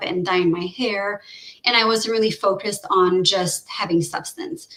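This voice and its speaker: Noticeable background noise sits behind a woman's voice. She speaks in a Quebec accent with ordinary pitch variation. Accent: French Canadian accent in English. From French-speaking Canada (Quebec area), Romanian family. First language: French. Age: 30s. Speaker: researcher. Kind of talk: casual chat. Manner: halting, many fillers and restarts.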